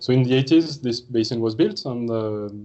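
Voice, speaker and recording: A man with a French accent speaks at a medium pitch and a fairly quick pace. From France. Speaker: marine research scientist. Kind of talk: seminar talk. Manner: hesitant, many fillers.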